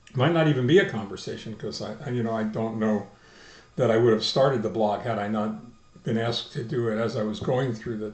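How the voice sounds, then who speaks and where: The delivery comes at a very fast pace. The voice is somewhat breathy. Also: man. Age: 70s. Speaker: video blogger, stem cell transplant patient. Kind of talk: personal video diary. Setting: video blog recording. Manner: halting, many fillers and repetitions.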